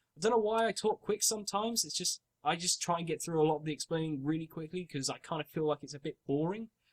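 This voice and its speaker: A man's high-pitched voice at a very fast pace, with ordinary pitch variation, hardly any pauses, and a dry, close sound with no echo. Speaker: gaming video creator. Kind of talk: gameplay commentary. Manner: casual, rambling with self-corrections.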